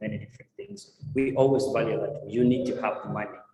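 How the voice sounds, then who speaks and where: A man rattles along at a very fast pace as noticeable background noise plays behind him. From Uganda. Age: 20s. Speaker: tech entrepreneur and guest speaker. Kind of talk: testimony.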